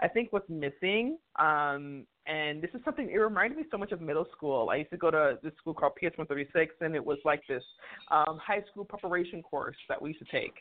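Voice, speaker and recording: A woman with an American accent speaks at a fairly quick pace. Her voice is fairly low in pitch and her intonation is lively. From New York. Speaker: HR and diversity consultant. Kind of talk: casual interview. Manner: animated.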